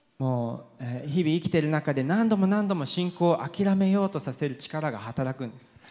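A man's dark, mellow, fairly high-pitched voice with hardly any pauses. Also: lively intonation, moderate pace, quiet background. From UK. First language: English (speaking Japanese). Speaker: pastor. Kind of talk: sermon. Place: church. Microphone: handheld.

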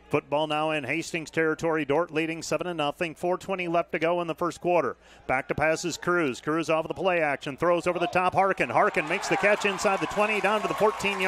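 Noticeable background noise sits under a dry sound with no echo as a man speaks at a high pitch. He moves at a fairly quick pace with hardly any pauses and fairly even intonation. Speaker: football radio play-by-play announcer. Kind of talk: live sports commentary. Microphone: headset.

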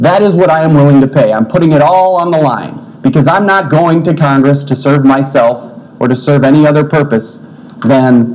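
A man's voice at a moderate pace, with ordinary pitch variation and very even loudness. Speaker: candidate. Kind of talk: debate statement. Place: studio. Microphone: podium.

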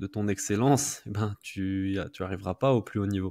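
Speaking at a moderate pace over a quiet background, a man uses an ordinary speaking voice with ordinary pitch variation. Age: 30s. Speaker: podcast host. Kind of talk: interview. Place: home room. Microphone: studio mic.

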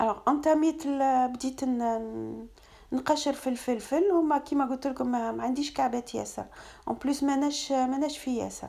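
Against a quiet background, a woman talks at a high pitch in a dark, mellow tone with fairly even intonation. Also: moderate pace. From Algeria. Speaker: cooking vlogger; home cooking vlogger. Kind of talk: vlog narration. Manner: casual, mixing French and Arabic. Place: kitchen. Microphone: phone near.

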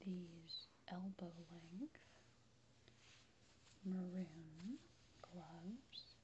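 A soft-spoken voice moves at a very slow pace over light background noise. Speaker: relaxation video creator. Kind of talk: soft-spoken relaxation talk. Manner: soft, hushed ASMR speaking.

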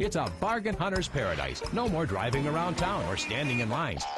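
A man talks at a fairly high pitch. Music plays in the background. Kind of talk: TV commercial read.

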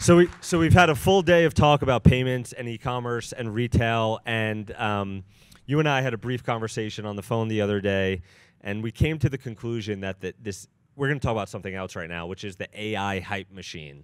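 Talking at a fairly quick pace, a man uses lively intonation and big swings in loudness. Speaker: journalist, senior editor. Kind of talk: onstage interview questions. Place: stage. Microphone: handheld.

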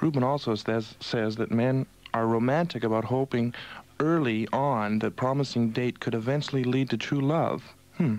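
The sound is dry with no echo as a man speaks at a moderate pace in a medium pitch. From Montreal, Canada. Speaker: radio host, disc jockey. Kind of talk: radio broadcast, overnight show host. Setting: radio studio, 1982 broadcast. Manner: smooth, upbeat. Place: studio.

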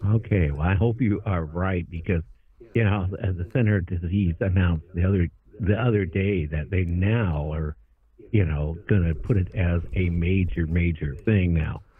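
A man with an American accent speaks at a moderate pace. His pitch is very deep and low, with ordinary pitch variation. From US Pacific Northwest, Whidbey Island, Washington. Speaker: radio talk show host. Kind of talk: radio interview.

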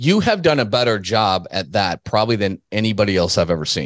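A man at a fairly quick pace, fairly low in pitch, with lively intonation.

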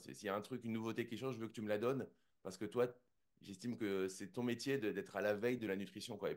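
Against a quiet background, a man talks at a very fast pace. His loudness swings widely, with ordinary pitch variation. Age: 40s. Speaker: jiu-jitsu champion and entrepreneur; interview guest. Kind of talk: interview. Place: home room. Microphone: studio mic.

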